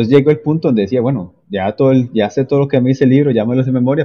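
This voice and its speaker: This is a man speaking. He has a Costa Rican accent. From Costa Rica, Limón province. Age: 30s. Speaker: civil engineer and entrepreneur. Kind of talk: interview conversation. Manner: halting, many fillers.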